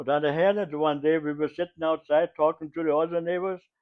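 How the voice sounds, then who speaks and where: A man with a German accent, fairly high in pitch, at a fairly quick pace with fairly even intonation. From Germany. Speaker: WWII civilian eyewitness. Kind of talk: interview answer.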